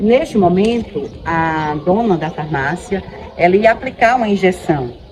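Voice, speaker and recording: A woman with an ordinary speaking voice and a medium pitch speaks at a fairly slow pace with lively intonation. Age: 50s. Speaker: teacher giving testimony. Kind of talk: testimony.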